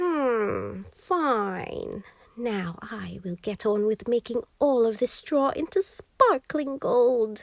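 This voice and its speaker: A female-sounding, high-pitched put-on character voice speaks at a very slow pace. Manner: gleeful, skipping.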